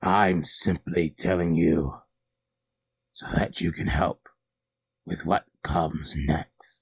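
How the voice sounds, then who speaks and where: A man uses a put-on character voice with a very deep, low pitch. He talks at a very slow pace, leaving long, frequent pauses. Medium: read story. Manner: menacing, gloating.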